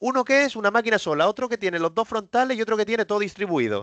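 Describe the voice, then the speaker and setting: Recorded dry and close with no echo and a quiet background, a man speaks at a very fast pace in a high pitch with very wide pitch swings. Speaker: cloud technical presenter. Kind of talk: webinar presentation.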